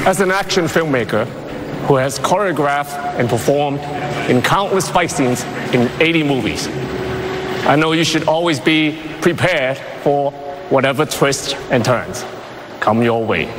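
Against noticeable background noise, a man talks fairly slowly in a fairly high pitch with ordinary pitch variation. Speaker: award presenter, action star. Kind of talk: award ceremony presentation speech. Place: stage.

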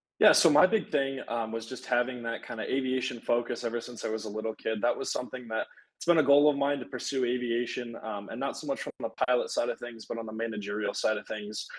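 A man with an American accent talks at a very fast pace with hardly any pauses. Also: medium pitch for a man, ordinary pitch variation. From Michigan, Traverse City. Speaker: university student. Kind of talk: live Q&A panel.

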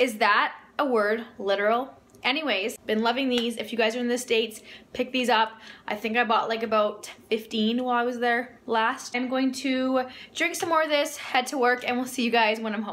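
Her pitch high and her intonation fairly even, a woman talks at a moderate pace. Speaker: food vlogger. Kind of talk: casual vlog chat. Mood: cheerful, relaxed. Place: kitchen. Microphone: phone near.

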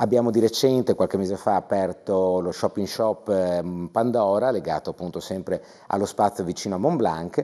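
A man talks in a dark, mellow tone at a fairly low pitch. The background is quiet. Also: ordinary pitch variation, moderate pace. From Friuli, Italy. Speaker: TV guest. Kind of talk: interview. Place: studio. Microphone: lapel.

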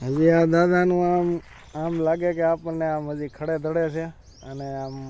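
Fairly high male voice, monotone and flat, with noticeable background noise. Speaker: village vlogger and farmer. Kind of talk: casual vlog narration. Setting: outdoors on a farm.

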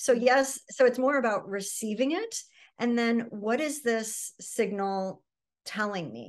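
A woman with an American accent speaks at a fairly slow pace and a fairly high pitch, with ordinary pitch variation, big swings in loudness and a quiet background. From US Midwest. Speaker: psychotherapist; interview guest. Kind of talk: interview. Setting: video call. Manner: frequent filler words. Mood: calm, reflective. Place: home room. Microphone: video call.

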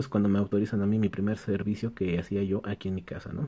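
A man speaks at a fairly quick pace in a dark, mellow tone. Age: 30s. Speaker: electronics repair technician, YouTuber; YouTuber. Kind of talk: casual Q&A vlog. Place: workshop.

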